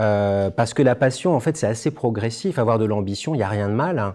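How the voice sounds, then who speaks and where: This man speaks at a fairly quick pace with a dark, mellow tone and medium pitch. His intonation is lively, and the background is quiet. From France. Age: 50s. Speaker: former travel company executive, conference speaker. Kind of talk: testimony. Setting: conference stage with audience. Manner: halting, many hesitations.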